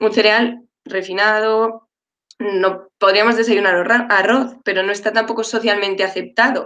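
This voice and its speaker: A woman at a fairly high pitch with a bright, sharp tone, monotone, flat intonation, very even loudness and a fairly slow pace. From Madrid, Spain. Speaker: dietitian-nutritionist. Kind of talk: panel discussion.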